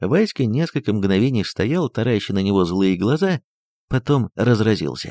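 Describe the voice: Lively intonation lifts the plain reading aloud, and the background stays quiet.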